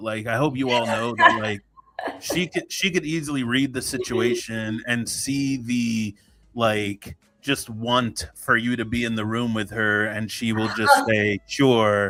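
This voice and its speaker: Noticeable noise in the background accompanies a man talking. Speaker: podcast host. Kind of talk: casual podcast conversation.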